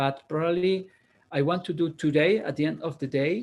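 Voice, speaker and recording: This man has a non-native accent and a fairly high pitch. His intonation is fairly even, and his pace is moderate. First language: Spanish. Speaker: university programming lecturer. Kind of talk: lecture. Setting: online video class. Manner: halting, with many fillers and repeats.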